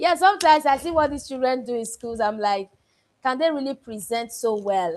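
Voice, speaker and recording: Her intonation lively, a woman with a high pitch speaks in a Nigerian accent. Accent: Benin (Nigerian). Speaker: book club coach. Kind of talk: online class feedback.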